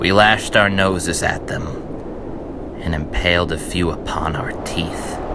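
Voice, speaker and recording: Over noticeable background noise, a man with an American accent speaks fairly slowly with hardly any pauses, a very deep, low pitch and fairly even intonation. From Connecticut, USA. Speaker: poet. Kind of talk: poetry reading.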